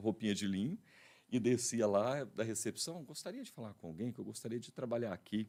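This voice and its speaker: Heard in a very clean recording with a silent background, a man with a dark, mellow tone and medium pitch speaks at a fairly quick pace with ordinary pitch variation. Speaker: radio and TV announcer. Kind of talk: interview answer telling his career story.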